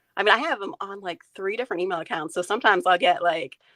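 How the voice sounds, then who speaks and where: At a very fast pace, a woman talks with a slight North Carolina accent and medium pitch. The sound is dry and close, with no echo. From Maine. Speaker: food photographer, stay-at-home mom. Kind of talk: interview. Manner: casual, many fillers.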